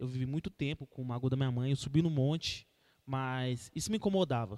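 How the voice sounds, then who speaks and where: This man talks in a normal speaking voice, fairly high in pitch with ordinary pitch variation, at a moderate pace, in a dry, close sound with no echo. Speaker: church youth podcast host. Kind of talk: casual chat with preaching.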